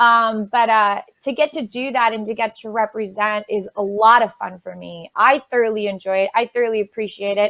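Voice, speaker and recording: A woman with a Spanish accent, hardly any pauses and big swings in loudness. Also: fairly high pitch for a woman, fairly even intonation, moderate pace. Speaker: voice actor. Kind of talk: casual interview.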